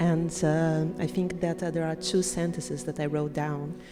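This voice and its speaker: Noticeable background noise runs under a woman's very deep, low voice. She speaks at a moderate pace with monotone, flat intonation. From Brazil (Rio de Janeiro). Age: 40s. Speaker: audience member at live event. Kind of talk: live interview. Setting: live event with audience. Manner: hesitant, many fillers.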